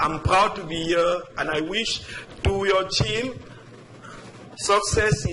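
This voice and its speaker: A man's high-pitched voice at a very slow pace, with audible room echo and noticeable background noise. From Africa. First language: not English. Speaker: resident speaking at public comment. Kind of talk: public comment at council meeting. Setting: town council meeting. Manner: halting, many repetitions.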